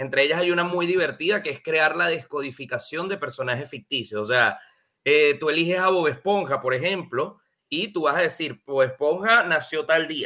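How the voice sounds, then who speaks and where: Here a man speaks at a moderate pace with a fairly high pitch. His tone is bright and sharp, with ordinary pitch variation. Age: 20s. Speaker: numerology decoder, coach. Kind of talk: casual chat. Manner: animated.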